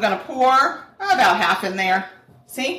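A woman speaks in a raised, projected voice at a high pitch, with noticeable background noise behind her. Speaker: true crime podcast co-host. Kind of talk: casual chat while cooking. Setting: home kitchen. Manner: laughs often.

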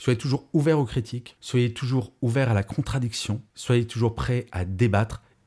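Against a quiet background, a man speaks at a moderate pace in a dark, mellow, somewhat breathy tone with ordinary pitch variation. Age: 50s. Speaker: podcaster and conference speaker; podcaster, conference speaker. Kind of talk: podcast monologue. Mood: earnest, reflective, upbeat. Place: home room. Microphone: studio mic.

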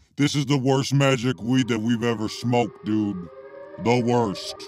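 A man's cartoonish character voice at a medium pitch and a moderate pace. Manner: casual, unimpressed.

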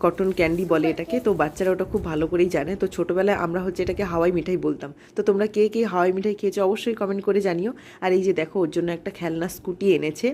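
The woman's intonation is fairly even. Her tone is dark and mellow. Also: medium pitch for a woman. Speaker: vlogger and mother. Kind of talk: vlog narration over video. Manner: casual, conversational.

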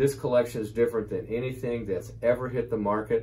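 A man with an American accent sounds enthusiastic and somewhat breathy. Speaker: auction house owner presenting auction items. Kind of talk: auction promotional presentation to camera. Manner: enthusiastic, conversational, with filler words. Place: office.

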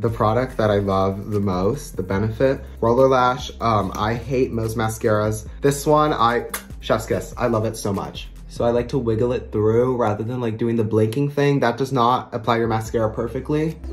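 Faint music sits in the background. The speech moves at a moderate pace with hardly any pauses and ordinary pitch variation. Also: man. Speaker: beauty vlogger. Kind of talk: makeup tutorial chat. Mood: upbeat, chatty. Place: bathroom. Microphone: phone near.

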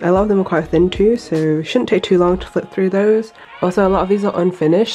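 Faint music plays in the background. Over it, a woman talks with ordinary pitch variation. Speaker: illustrator. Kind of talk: casual talk to camera. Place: home room.

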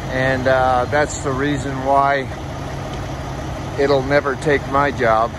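Delivered at a very slow pace, the speech has a dry sound with no echo and noticeable background noise. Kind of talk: casual vlog chat. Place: station. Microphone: phone near.

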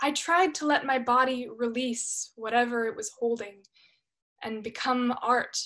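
Over a quiet background, a woman speaks at a high pitch with a bright, sharp tone and ordinary pitch variation. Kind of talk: dramatic monologue performance. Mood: reflective, expressive storytelling. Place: home room. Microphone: webcam.

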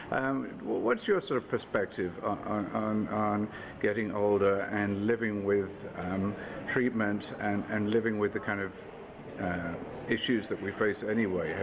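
Noticeable background noise sits behind a man with a fairly low voice. He talks at a fairly slow pace with fairly even intonation. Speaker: interviewer. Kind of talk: interview questions. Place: hall.

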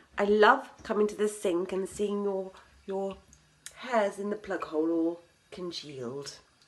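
The pace is fairly slow. Pitch variation is ordinary. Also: woman. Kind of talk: casual vlog chat, sarcastic message. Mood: mock-sweet passive-aggressive. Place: bathroom. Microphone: phone near.

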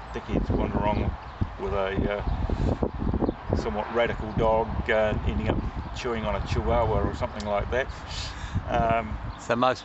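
Loud background noise fills the recording of a man talking at a moderate pace. He leaves long, frequent pauses and uses ordinary pitch variation. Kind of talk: interview answer. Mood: relaxed, smiling. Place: open country. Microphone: phone near.

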